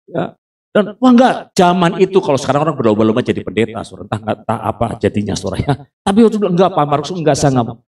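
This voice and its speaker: Talking at a very fast pace, a man with a fairly high pitch and vocal fry makes very wide pitch swings. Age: 60s. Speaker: pastor. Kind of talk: sermon.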